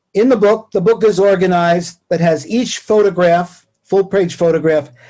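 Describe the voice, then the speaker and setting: A man with a New York accent, high pitch, a dark, mellow tone, ordinary pitch variation and a moderate pace. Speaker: professor emeritus. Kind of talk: lecture. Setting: video call.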